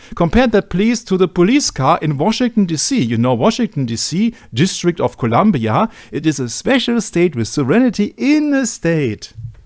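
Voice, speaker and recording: With very wide pitch swings and high pitch, a man speaks at a moderate pace with hardly any pauses, on a very clean recording over a silent background. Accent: German. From Germany. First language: German. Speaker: researcher presenting on media and religion. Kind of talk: discussion presentation.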